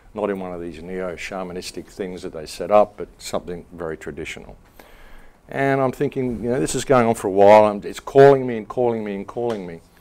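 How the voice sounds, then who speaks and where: Talking at a very fast pace, a man with a fairly low pitch speaks in an Australian accent. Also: ordinary pitch variation. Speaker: author, filmmaker and radio host. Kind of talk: public talk. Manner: calm.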